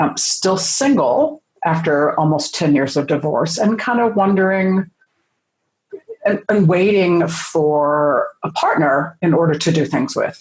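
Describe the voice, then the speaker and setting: Somewhat breathy, a woman's voice carries lively intonation. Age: 60s. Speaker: sex educator and writer. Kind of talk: interview. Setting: podcast.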